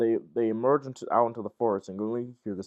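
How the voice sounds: The background is near silent. Over it comes a natural reading voice.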